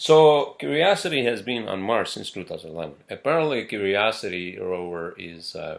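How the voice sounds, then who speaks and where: Barely pausing, a man speaks with very wide pitch swings and big swings in loudness. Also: medium pitch for a man, moderate pace. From northern Pakistan. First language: not English. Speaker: podcaster. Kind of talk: casual solo podcast monologue. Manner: halting, many fillers and repetitions.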